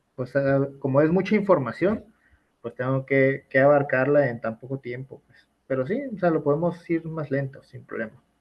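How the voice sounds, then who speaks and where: The man talks at a fairly high pitch with ordinary pitch variation. His loudness swings widely. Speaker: university law lecturer. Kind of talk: online class lecture. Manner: fast.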